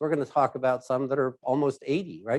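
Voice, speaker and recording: In a very clean recording with a silent background, a man speaks at a medium pitch. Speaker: risk advisory executive, keynote speaker. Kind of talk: keynote presentation. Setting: stage with live audience, hybrid event. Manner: loud.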